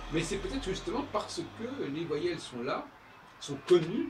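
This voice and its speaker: With noticeable background noise and audible room echo, a man speaks at a fairly slow pace with ordinary pitch variation. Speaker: composer and musician. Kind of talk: spoken monologue on his music. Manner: halting, many hesitations.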